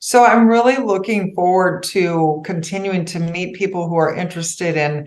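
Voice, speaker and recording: A woman speaks in a normal speaking voice at a moderate pace. Her pitch variation is ordinary. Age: 60s. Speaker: financial advisor. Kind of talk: podcast interview.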